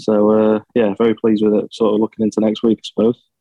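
Speaking at a very fast pace in a Yorkshire accent, the man has a fairly low voice and monotone, flat intonation. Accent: northern English (Yorkshire). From Sheffield, England. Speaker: amateur golfer. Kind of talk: radio interview.

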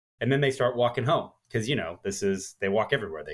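A man speaks in a somewhat breathy voice. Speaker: podcast co-host. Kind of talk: casual chat.

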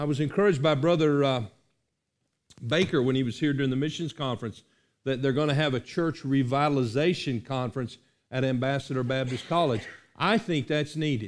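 A man talks at a fairly quick pace in an unremarkable speaking voice, fairly high in pitch with ordinary pitch variation, on a very clean recording with a silent background. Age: 50s. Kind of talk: sermon. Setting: church.

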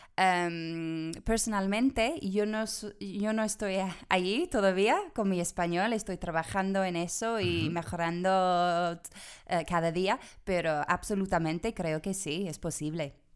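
A woman speaks in an English accent at a medium pitch with ordinary pitch variation. Her pace is fairly slow. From England, Bristol. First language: English (speaking Spanish). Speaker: language exchange organizer. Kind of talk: interview. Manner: halting.

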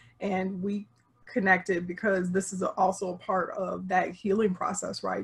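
A woman talks at a moderate pace at a medium pitch. Hers is a plain, everyday voice. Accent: American. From Chicago area, US Midwest. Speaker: relationship coach. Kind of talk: interview. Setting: video call.

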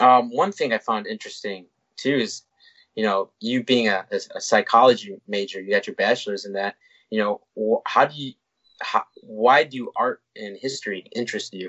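With a normal speaking voice, a man talks at medium pitch and a moderate pace, his loudness swinging widely while his pitch varies in an ordinary way. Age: 20s. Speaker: podcast host. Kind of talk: casual interview.

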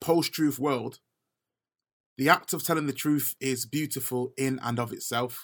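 This very clean recording has a silent background. A man speaks with a bright, sharp tone and ordinary pitch variation. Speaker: writer. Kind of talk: spoken word piece.

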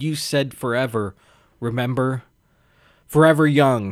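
A man in a put-on character voice speaks at a medium pitch and moderate pace, sounding shaky, with fairly even intonation.

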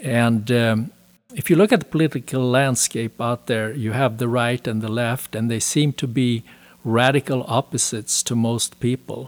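A man with a Swedish accent speaks at a medium pitch and a moderate pace. His intonation stays fairly even, and the sound is dry and close with no echo. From Sweden. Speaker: author. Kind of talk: interview.

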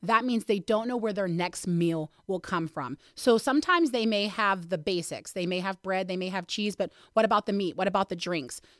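The speaker has an unremarkable speaking voice in an American accent. The pace is moderate. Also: woman. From western Pennsylvania, Mercer County. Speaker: food bank staff member. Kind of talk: casual interview.

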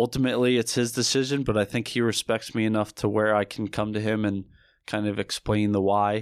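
On a very clean recording with a silent background and a dry, close sound with no echo, a man with an American accent talks at a fairly quick pace in a fairly low, monotone, flat voice. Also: very even loudness. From New Jersey, Camden County. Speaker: police lieutenant. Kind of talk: interview.

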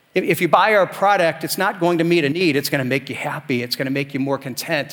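This man speaks at a very fast pace with a fairly high pitch, a warm tone and ordinary pitch variation. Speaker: pastor. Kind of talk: sermon. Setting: church. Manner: earnest, warm, fairly fluent preaching with some repeated starts.

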